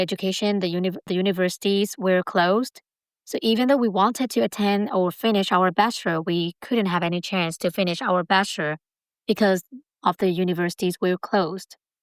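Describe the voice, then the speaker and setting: A woman with a Burmese accent speaks at a fairly quick pace. The recording is very clean, with a silent background and a dry, close sound with no echo. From Myanmar. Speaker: community college student. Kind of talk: interview. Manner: halting.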